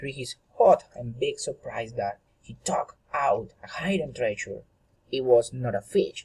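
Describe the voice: A man talks at a fairly slow pace. His dark, mellow tone carries a slightly husky edge.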